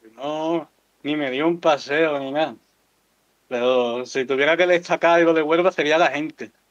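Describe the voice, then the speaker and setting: Fairly even intonation and a fairly slow pace in an Andalusian accent. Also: man, fairly high pitch for a man. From Andalusia, Seville province town. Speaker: content creator. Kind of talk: casual chat.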